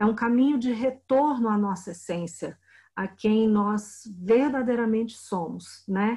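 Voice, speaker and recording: Her tone dark and mellow, this woman talks fairly slowly and sounds somewhat breathy. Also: fairly high pitch for a woman, ordinary pitch variation. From Brazil, Brasília. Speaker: spiritual healing teacher and translator. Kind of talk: interview.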